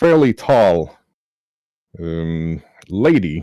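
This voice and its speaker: This man has a very deep, low pitch and a dark, mellow tone, his intonation lively, captured in a dry, close sound with no echo. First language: not English. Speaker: game master. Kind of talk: tabletop game narration. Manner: halting, many fillers.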